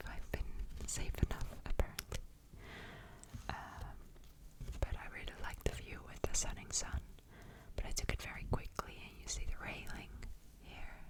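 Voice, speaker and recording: A woman whispering at a fairly slow pace, with long, frequent pauses, big swings in loudness and noticeable background noise. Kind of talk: ASMR show and tell, casual talk to camera. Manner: whispered.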